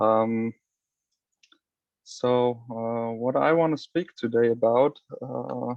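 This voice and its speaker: Pausing long and often, a man with a non-native accent and a medium pitch speaks very slowly, with ordinary pitch variation. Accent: non-native English, self-described. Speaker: flag football coach. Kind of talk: lecture. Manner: halting, many fillers.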